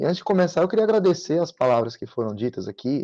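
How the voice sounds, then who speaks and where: Lively intonation marks this man's dark, mellow tone. He speaks at a fairly quick pace in a dry, close sound with no echo. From Sergipe, Brazil. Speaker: public prosecutor, guest lecturer. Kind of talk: online lecture. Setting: online video session.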